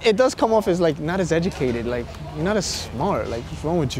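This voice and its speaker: A man with a Brooklyn accent talks at a very fast pace. The sound is dry with no echo, over light background noise. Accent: New York (Brooklyn). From Brooklyn, New York. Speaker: documentary interviewee. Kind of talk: interview answer. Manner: casual, emphatic. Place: waterside.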